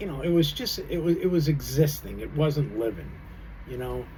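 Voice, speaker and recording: A man speaks in a relaxed tone. Room echo can be heard. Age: 60s. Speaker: vlogger. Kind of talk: casual monologue. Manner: relaxed, halting with fillers.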